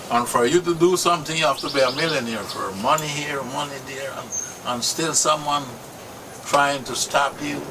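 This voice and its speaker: A man with a Limón Creole accent speaks at a moderate pace and fairly high pitch with fairly even intonation. His loudness swings widely, and background noise is noticeable. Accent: Afro-Caribbean Limón Creole English. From Costa Rica, Caribbean coast (Talamanca). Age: 60s. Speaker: local landowner. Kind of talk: interview testimony. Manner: halting.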